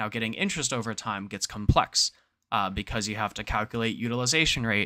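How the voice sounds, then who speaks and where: A man's medium-pitched voice has a bright, sharp tone and ordinary pitch variation, moving at a fairly quick pace in a very clean recording with a silent background. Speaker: crypto data analyst streamer. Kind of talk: livestream tutorial. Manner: fast; hesitant, many fillers.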